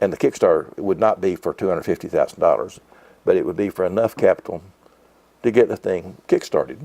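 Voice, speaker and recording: A man at a very fast pace, the sound dry and close with no echo. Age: 70s. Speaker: bookshop owner. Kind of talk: interview. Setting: in a bookshop.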